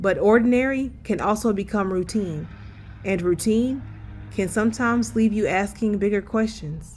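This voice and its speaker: A somewhat breathy woman's voice of medium pitch at a moderate pace, with fairly even intonation and very even loudness. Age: 30s. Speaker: travel vlogger. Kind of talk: scripted narration. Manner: reflective.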